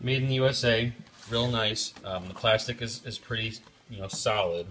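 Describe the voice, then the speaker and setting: Speaking at a moderate pace and medium pitch, a man keeps a fairly even intonation while his loudness swings widely, with noticeable background noise behind him. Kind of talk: casual product review to camera. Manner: casual, hesitant with fillers.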